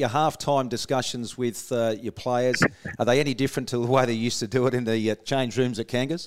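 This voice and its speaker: Speaking with an Australian accent, a man has a medium pitch. His pace is very fast. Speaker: radio host. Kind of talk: casual radio interview.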